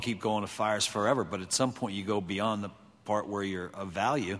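A man speaks in an ordinary speaking voice, fairly low in pitch and at a fairly quick pace. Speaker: fire service safety panelist. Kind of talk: panel discussion. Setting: stage with audience. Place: hall. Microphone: podium.

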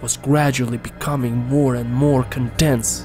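Speech at a moderate pace plays over music in the background. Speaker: storyteller. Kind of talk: horror story narration.

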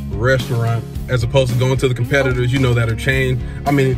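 A man talks at a very fast pace with clear music in the background. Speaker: food reviewer. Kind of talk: casual vlog chat. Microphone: phone near.

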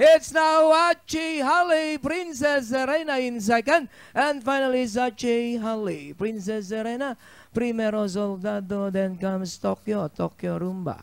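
Lively intonation carries the words along at a moderate pace. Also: man, extremely high pitch for a man, very clean recording, silent background. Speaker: horse race caller. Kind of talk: live race call.

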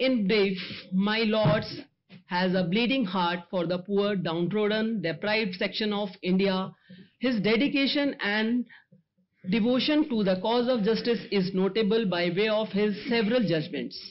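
A woman reads at a fairly slow pace, her loudness very even. Her pitch shows ordinary variation. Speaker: event host introducing the guest speaker. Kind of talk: formal introduction speech. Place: hall. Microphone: podium.

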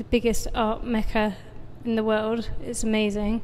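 With a British accent, a woman speaks fairly slowly in a flat monotone at a fairly high pitch. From UK. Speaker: painter. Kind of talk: interview. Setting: artist's studio.

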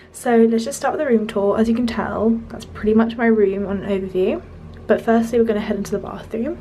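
A woman at a very fast pace, fairly high in pitch, with light background noise. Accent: British. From UK. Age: young. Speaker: student vlogger. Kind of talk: vlog room tour. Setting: student bedroom. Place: home room. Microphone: phone near.

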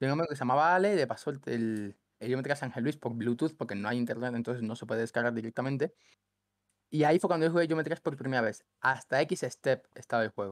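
Speaking very fast, a man with a medium-pitched voice and ordinary pitch variation sounds dry with no echo against a quiet background. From Cuba, then Ecuador from age 10. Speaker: gaming content creator. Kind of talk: casual chat. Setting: call. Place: home room. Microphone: headset.

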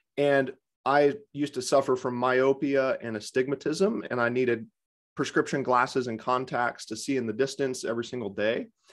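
Against a quiet background, a man speaks with an American accent. His pace is moderate and his intonation fairly even. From US, Vermont. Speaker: Bates method vision teacher and podcaster; Bates method vision teacher, podcaster. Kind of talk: panel discussion answering questions. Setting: video call. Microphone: webcam.

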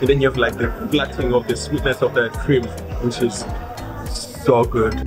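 Clear music plays in the background as a man speaks at a fairly quick pace. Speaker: food travel vlogger. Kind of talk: casual vlog chat. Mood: delighted, enthusiastic. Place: cafe. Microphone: phone near.

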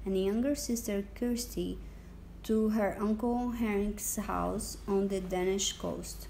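Reading done in a natural voice

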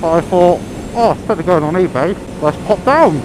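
A man's voice sounds dry with no echo, set against noticeable background noise. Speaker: motorcycle vlogger. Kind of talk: casual vlog chat. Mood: relaxed, chatty. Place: motorbike. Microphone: helmet.

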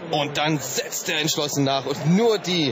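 A man's fairly high voice at a fairly slow pace, with ordinary pitch variation and noticeable background noise. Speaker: boxing commentator. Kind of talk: live boxing commentary, excited blow-by-blow call of the fight. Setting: boxing broadcast over ringside footage. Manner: urgent, punchy short exclamations.

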